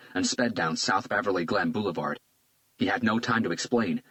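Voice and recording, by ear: A quiet background sits behind the voice. It is reading aloud in a natural voice.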